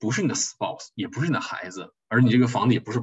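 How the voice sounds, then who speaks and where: A man talks at a very fast pace. His medium-pitched voice is somewhat breathy. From China, Harbin. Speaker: tax accountant. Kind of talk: lecture. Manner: hesitant, many fillers.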